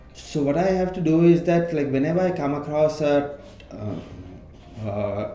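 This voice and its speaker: Lively intonation comes through at a fairly slow pace, with audible room echo around the voice. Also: man, fairly high pitch for a man. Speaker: employee sharing personal story. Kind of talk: interview. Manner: halting.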